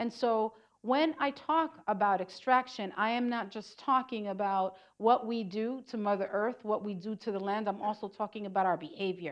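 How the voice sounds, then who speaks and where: Her pitch is fairly high for a woman, with ordinary variation. She speaks at a moderate pace. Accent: New York. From New York City. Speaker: community organizer. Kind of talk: lecture.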